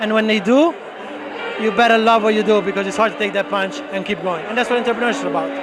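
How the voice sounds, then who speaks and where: The speech runs at a very fast pace, with crowd noise in the background and audible room echo. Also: man, high pitch for a man, ordinary pitch variation. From Italy. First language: Italian. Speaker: real estate broker. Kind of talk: interview. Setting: networking event at a bar.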